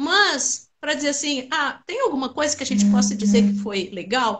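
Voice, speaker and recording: Lively intonation from a woman at a moderate pace. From southern Brazil, Rio Grande do Sul (Pelotas). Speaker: Alzheimer awareness collective founder. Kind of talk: interview.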